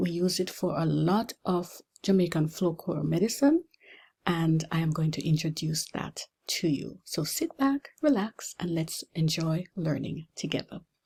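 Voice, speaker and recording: This woman's voice is fairly low-pitched, with a dark, mellow tone. She talks at a fairly slow pace and sounds somewhat breathy. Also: ordinary pitch variation. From Jamaica. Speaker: pharmacy lecturer. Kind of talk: lecture.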